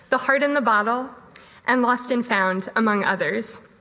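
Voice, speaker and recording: A woman with a high-pitched voice speaks at a moderate pace, her pitch varying in an ordinary way. Noticeable background noise sits behind her. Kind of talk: event introduction. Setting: live event in a room with audience.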